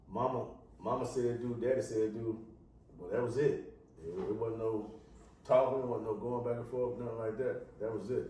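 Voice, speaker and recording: Through audible room echo and noticeable background noise, a man of medium pitch speaks at a moderate pace in a monotone, flat intonation with long, frequent pauses. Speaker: podcast co-host. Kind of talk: casual chat.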